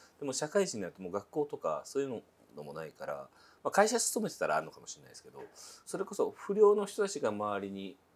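The loudness swings widely here. A man is talking very fast. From Japan. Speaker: interviewer. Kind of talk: interview.

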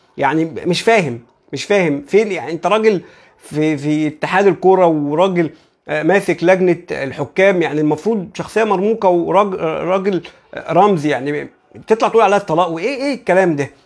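A man's high-pitched voice at a moderate pace, ordinary pitch variation, quiet background. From Egypt. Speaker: football YouTuber; football commentator vlogger. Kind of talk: live stream commentary. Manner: animated. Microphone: lapel.

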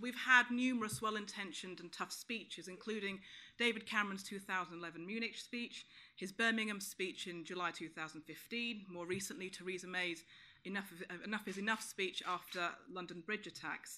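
Speaking at a moderate pace in a medium pitch, a woman with a bright, sharp tone uses ordinary pitch variation and big swings in loudness. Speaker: counter-extremism campaigner and author; speaker. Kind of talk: conference panel talk. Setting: stage with audience. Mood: serious, critical. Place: meeting room.

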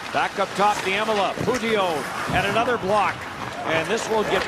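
Loud background noise surrounds a man's voice, recorded dry with no echo. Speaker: hockey commentator. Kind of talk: live sports commentary, rapid play-by-play of action on the ice. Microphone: headset.

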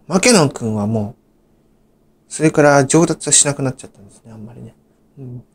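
At a fairly quick pace, a man speaks with a medium pitch, ordinary pitch variation, long, frequent pauses and big swings in loudness. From Japan, Saitama (Gyoda). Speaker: YouTuber. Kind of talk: storytelling monologue. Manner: halting, many fillers.

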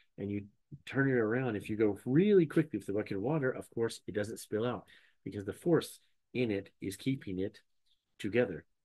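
In a quiet setting, a man is talking. His pace is fairly quick, and his pitch varies an ordinary amount. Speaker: educator answering questions. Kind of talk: casual explainer. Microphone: webcam.

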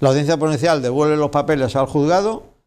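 A man talks at a very fast pace. His pitch is fairly high. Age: 70s. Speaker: businessman; TV interview guest. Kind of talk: interview. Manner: animated. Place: studio.

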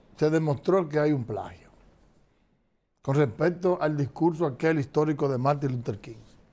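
A man speaks with a fairly high pitch, a slightly mellow tone, and vocal fry. His pitch variation is ordinary.

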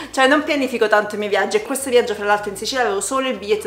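There is audible room echo as a woman talks with ordinary pitch variation. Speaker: travel vlogger. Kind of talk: casual vlog chat. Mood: cheerful, laughing. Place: home room. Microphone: camera far.

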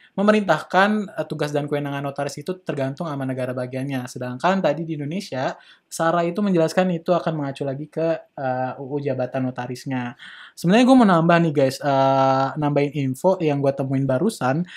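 The background stays quiet. Against it, a man speaks very fast. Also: ordinary pitch variation. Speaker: podcast host. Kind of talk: casual educational discussion. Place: studio. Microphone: studio mic.

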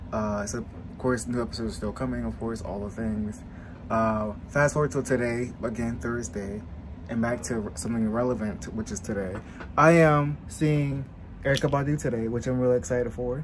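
Noticeable background noise accompanies a man's voice. He speaks at a moderate pace. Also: ordinary pitch variation. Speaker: vlogger. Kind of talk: casual vlog chat. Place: home room. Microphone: phone near.

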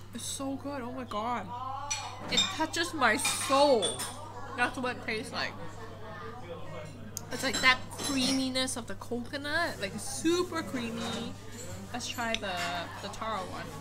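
A woman talks with long, frequent pauses. Loud background noise fills the recording. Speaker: food vlogger. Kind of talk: casual vlog chat. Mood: delighted, enthusiastic. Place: cafe.

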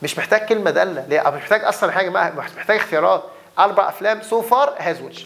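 Speaking fairly quickly, a man lets his pitch rise and fall in an ordinary way. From Egypt. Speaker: English teacher. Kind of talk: lecture. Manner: animated. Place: classroom.

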